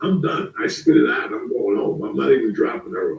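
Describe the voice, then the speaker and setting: A man at a fairly quick pace. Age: 60s. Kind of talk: casual chat.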